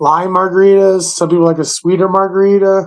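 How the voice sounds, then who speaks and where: At a moderate pace, a man talks with a high pitch. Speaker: podcast co-host. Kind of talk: casual chat. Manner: slurs words.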